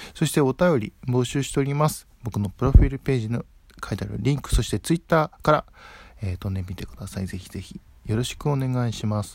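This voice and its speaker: Somewhat breathy and at a medium pitch, a man talks at a fairly quick pace with lively intonation and big swings in loudness. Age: 20s. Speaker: podcaster. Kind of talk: solo casual talk. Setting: at home. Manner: relaxed.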